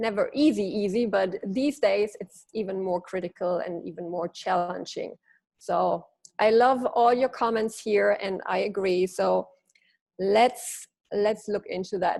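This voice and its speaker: Speaking with a German accent, a woman uses a medium pitch with ordinary variation, vocal fry and a fairly slow pace. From Germany. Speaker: leadership coach. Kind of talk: webinar presentation. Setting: webinar.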